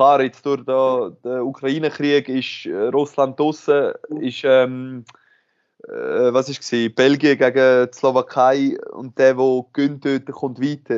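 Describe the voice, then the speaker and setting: This man talks at a very slow pace with a monotone, flat intonation. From Switzerland, Aargau (Aarau). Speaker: professional handball player. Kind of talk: interview.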